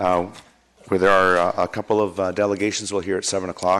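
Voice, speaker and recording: A man's very deep, low voice. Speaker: mayor chairing council meeting. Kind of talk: council meeting chairing. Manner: hesitant with many fillers.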